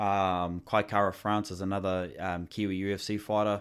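A fairly slow voice with a New Zealand accent and monotone, flat intonation, in a very clean recording with a silent background. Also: man. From New Zealand, Northland. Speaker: fitness coach. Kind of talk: casual chat.

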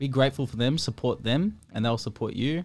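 A man with an Australian accent talks at a fairly quick pace in a very clean recording with a silent background. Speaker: podcast host, music artist. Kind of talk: casual chat. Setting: restaurant studio.

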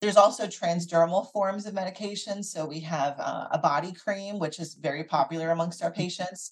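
Talking at a fairly quick pace with hardly any pauses, a woman uses a fairly low, somewhat breathy voice with fairly even intonation and big swings in loudness. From US Northeast, Philadelphia area. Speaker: physician (OB/GYN). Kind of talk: interview.

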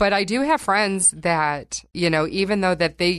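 Against a quiet background, a woman with an American accent speaks with ordinary pitch variation. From northern Michigan. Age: 40s. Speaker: health coach. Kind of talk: interview.

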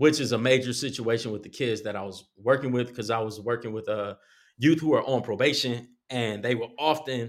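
In a very clean recording with a silent background, a man with an American accent uses an ordinary speaking voice, a medium pitch, fairly even intonation and a fairly quick pace. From Compton, California. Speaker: artist and social worker. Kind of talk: casual chat.

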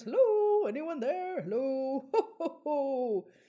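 This put-on character voice sits high and swings very widely in pitch. It moves at a fairly slow pace. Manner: mumbling, giggling, calling for help.

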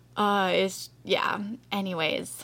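A woman talks at a medium pitch. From Canada. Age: 20s. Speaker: podcast host, diabetes and fat loss coach. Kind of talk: casual solo podcast monologue. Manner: animated.

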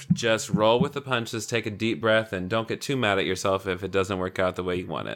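A plain, everyday voice from a man with an American accent, fairly low in pitch with ordinary pitch variation, fairly quick and with hardly any pauses, on a very clean recording with a silent background. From US South, rural Tennessee. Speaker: spiritual director and coach. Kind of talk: casual chat.

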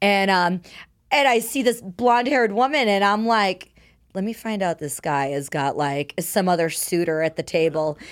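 Lively intonation marks this woman's unremarkable speaking voice, pitched medium, in a very clean recording with a silent background. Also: moderate pace. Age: 30s. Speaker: adult film performer. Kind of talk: casual chat. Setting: studio.

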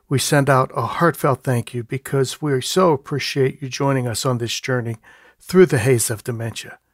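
This is a man with a plain, everyday voice at a medium pitch. He keeps a moderate pace and ordinary pitch variation. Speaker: podcast co-host, music therapist. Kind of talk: podcast interview.

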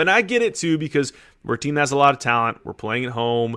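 Talking at a fairly quick pace, a man with a plain, everyday voice and a fairly high pitch uses lively intonation. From California. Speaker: sports podcast co-host. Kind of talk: casual chat.

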